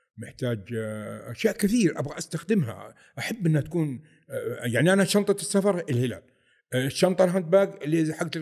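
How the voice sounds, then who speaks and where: An ordinary speaking voice from a man, fairly high in pitch, with lively intonation. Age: 50s. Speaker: football fan, airport quality manager. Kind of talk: casual interview.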